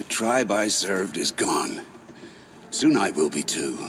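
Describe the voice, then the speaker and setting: Put-on character voice from a man, fairly slow, with clear background noise behind it. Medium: video game. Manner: bitter, resentful.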